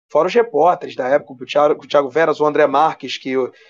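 This man's intonation stays fairly even at a moderate speaking pace. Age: 30s. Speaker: sports journalist. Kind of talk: casual chat.

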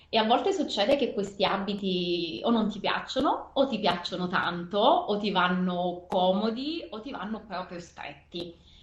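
With hardly any pauses, a woman speaks fairly slowly at a medium pitch amid noticeable background noise. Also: lively intonation. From Naples, southern Italy. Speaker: mother and former team manager. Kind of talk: interview. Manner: hesitant, with fillers.

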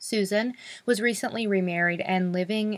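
The recording is spotless, with total silence behind the voice. A woman talks rather slowly. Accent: American. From North Carolina. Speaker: true crime podcast host. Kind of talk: casual storytelling narration. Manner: animated.

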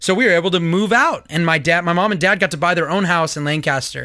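A man with a Californian accent speaks very fast in a high voice with a bright, sharp tone and ordinary pitch variation, on a very clean recording with a silent background. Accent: General American (Californian). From Southern California, US. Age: 30s. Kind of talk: solo commentary podcast.

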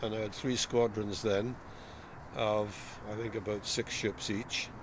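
Speaking at a moderate pace, a man with a Welsh accent holds a medium pitch in monotone, flat intonation. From South Wales. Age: 70s. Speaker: retired navy officer. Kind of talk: casual interview.

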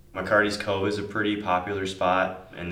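A man with an American accent and a bright, sharp tone speaks at a moderate pace amid audible room echo. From Upper Peninsula of Michigan, Marquette. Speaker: college student, surfer. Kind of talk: interview.

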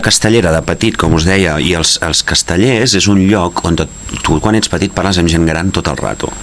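Against noticeable background noise, a man talks at a moderate pace with a very deep, low pitch. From Catalonia (Gelida, Barcelona province). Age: 40s. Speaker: actor. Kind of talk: interview, casual chat.

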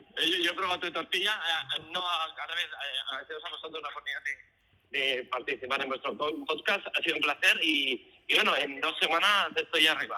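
A man's high voice moves with ordinary pitch variation at a moderate speed while noticeable background noise plays. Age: 50s. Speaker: guest. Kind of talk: casual chat. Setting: phone call.

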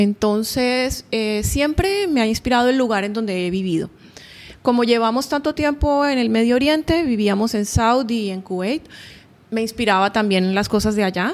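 A woman speaks at a moderate pace in an unremarkable speaking voice. Her pitch is fairly high, with ordinary variation. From Colombia, Barranquilla (Caribbean coast). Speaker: painter. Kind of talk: interview. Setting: artist's studio.

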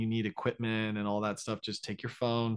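A man speaks with an American accent at a medium pitch. The background is quiet. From Florida, US. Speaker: dentist and content creator. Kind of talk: interview. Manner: hesitant, many fillers.

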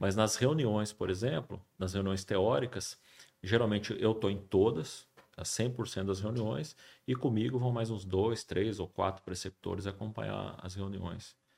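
A man speaks in an ordinary speaking voice with ordinary pitch variation. His pitch is fairly low, and his pace is fairly slow. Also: very clean recording, silent background. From Brazil, São José dos Campos (São Paulo state). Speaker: surgeon. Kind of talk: casual interview.

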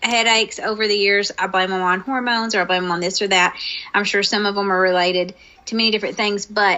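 A woman with a normal speaking voice talks at a medium pitch with fairly even intonation. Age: 40s. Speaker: podcast co-host. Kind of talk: casual chat.

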